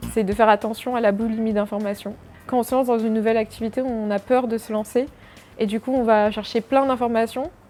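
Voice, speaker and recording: Music plays behind a woman who talks fairly quickly at a fairly high pitch, her intonation monotone and flat. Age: 20s. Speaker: freelance product designer. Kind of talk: interview answers. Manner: hesitant, many fillers.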